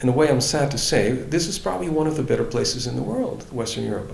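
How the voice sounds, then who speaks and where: Amid audible room echo and noticeable background noise, a man at a medium pitch talks at a fairly quick pace with lively intonation. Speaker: libertarian politician and relocation adviser. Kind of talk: interview. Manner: hesitant, many fillers and restarts.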